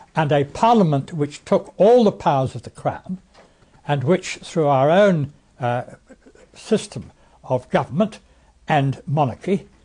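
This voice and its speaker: In an RP accent, a man speaks fairly slowly with a fairly high pitch and lively intonation, leaving long, frequent pauses. His voice is somewhat breathy, with a dark, mellow tone. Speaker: former member of parliament. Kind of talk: presentation. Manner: halting.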